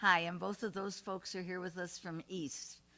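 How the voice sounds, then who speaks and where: A woman's medium-pitched voice carries along at a moderate pace. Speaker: committee member hosting a community talk. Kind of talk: interview before a live audience. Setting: room with a live audience. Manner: loud.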